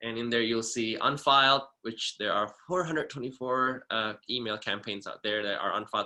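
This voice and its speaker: This man talks at a fairly quick pace in a bright, sharp tone, with ordinary pitch variation and hardly any pauses. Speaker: subsection officer giving a training. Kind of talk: webinar tutorial; tutorial. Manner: fast; hesitant, many fillers.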